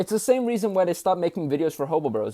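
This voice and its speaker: This is a man speaking. His voice has a dark, mellow tone. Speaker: YouTuber. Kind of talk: video essay commentary. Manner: fast.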